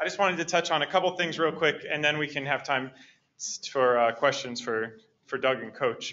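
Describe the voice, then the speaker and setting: A normal speaking voice moving fairly quickly, its pitch varying in an ordinary way. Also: man, fairly high pitch for a man. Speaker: organic education specialist. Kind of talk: lecture. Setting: stage with audience.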